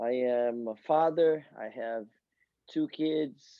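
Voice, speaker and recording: With a strong Brazilian accent, a man holds a medium pitch and fairly even intonation. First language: Portuguese. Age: 40s. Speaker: soccer coach. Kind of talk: podcast interview. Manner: halting, repeats words.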